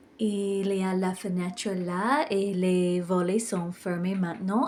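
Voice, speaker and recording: In an English accent, a woman with a medium pitch speaks at a very slow pace. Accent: English-speaking accent in French. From Ireland. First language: English (speaking French). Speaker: hotel reviewer vlogger. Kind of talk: vlog walkthrough review. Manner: occasional hesitations and self-corrections.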